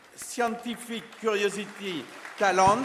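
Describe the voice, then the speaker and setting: In a French accent, a man speaks very slowly at a high pitch with lively intonation. Crowd noise and audible room echo fill the background. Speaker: space agency official presenting an award. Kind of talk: ceremony speech. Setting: stage with audience. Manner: formal.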